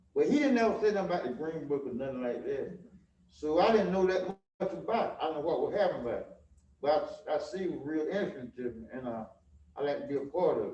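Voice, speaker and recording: A man with an American accent at a very fast pace, with big swings in loudness and audible room echo. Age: 70s. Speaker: garage owner. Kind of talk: informal remarks at public event. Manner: halting.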